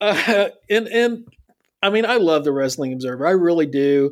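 Here is a man with an unremarkable speaking voice and an American accent. He talks at a moderate pace with ordinary pitch variation. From US South. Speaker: wrestling commentator guest. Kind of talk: casual chat.

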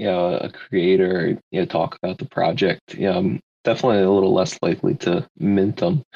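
In a dry, close sound with no echo, a man with an American accent talks at a fairly low pitch and moderate pace in a normal speaking voice. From Philadelphia, US. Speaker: NFT community member. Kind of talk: casual chat.

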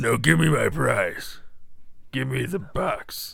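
In a put-on character voice, a man sounds gruff and raspy as he talks at a fairly slow pace. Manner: demanding.

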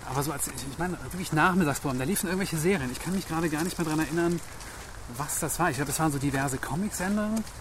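The speech comes at a very fast pace with ordinary pitch variation. Audible room echo and noticeable background noise are present. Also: man, fairly high pitch for a man. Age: 30s. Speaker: TV screenwriter and showrunner. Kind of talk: casual interview chat. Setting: outdoors walking in park in rain.

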